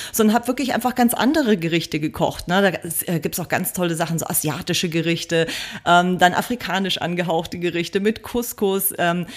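At a fairly quick pace, the speaker has an unremarkable speaking voice with ordinary pitch variation. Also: woman. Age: 40s. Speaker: vegan food blogger and cookbook author. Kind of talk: interview.

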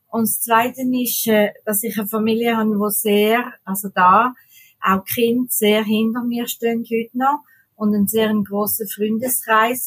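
Very slowly, a woman speaks in a fairly high pitch with monotone, flat intonation. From Switzerland. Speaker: mouth painter, tetraplegic artist. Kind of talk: interview.

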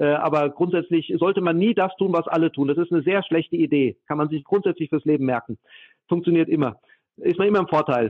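Speaking at a fairly quick pace, a man with a high voice keeps his loudness very even and his pitch variation ordinary. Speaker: data protection expert. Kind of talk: interview. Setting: remote call.

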